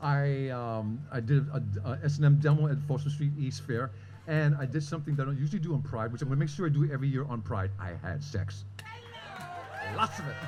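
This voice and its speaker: A man's fairly high voice at a fairly quick pace, with ordinary pitch variation, audible room echo and noticeable background noise. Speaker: storyteller, long-term HIV survivor. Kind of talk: personal storytelling at live event.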